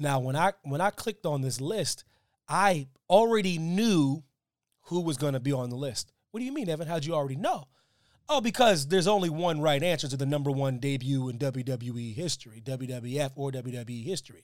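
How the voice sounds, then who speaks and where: Lively intonation and an animated tone mark this man's speech. He talks at a fairly quick pace with a fairly high pitch. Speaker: podcast host, wrestling commentator. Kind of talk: casual chat about wrestling news. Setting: live to tape, pre-tape, chat. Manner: animated, joking, fast talker.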